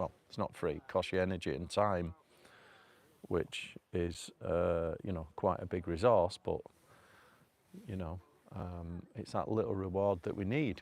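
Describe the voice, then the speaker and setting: With a Manchester accent, a man speaks with a very deep, low pitch and long, frequent pauses. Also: ordinary pitch variation, very clean recording, silent background. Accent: northern English (Manchester). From northern England, North Manchester. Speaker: self-improvement vlogger. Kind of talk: casual live vlog. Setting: outdoors. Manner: rambling, hesitant.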